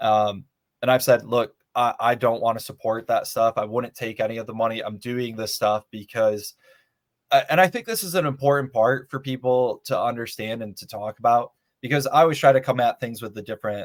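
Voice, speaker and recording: In a plain, everyday voice with an American accent, a man talks at a fairly quick pace with ordinary pitch variation and big swings in loudness, recorded very cleanly against a silent background with a dry, close sound and no echo. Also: medium pitch for a man. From Michigan (Muskegon). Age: 30s. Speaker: congressional candidate. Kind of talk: interview.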